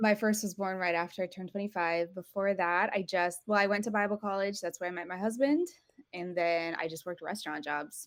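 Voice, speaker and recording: A woman with an American accent uses a plain, everyday voice at a medium pitch and fairly even intonation. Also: fairly quick pace. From Europe (Portugal and Italy), American parents. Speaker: homeschooling mother and small business owner. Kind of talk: podcast interview.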